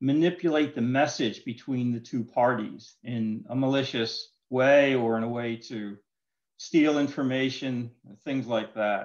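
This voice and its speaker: Fairly slow male speech, quiet background. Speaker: presenter. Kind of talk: lecture. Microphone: video call.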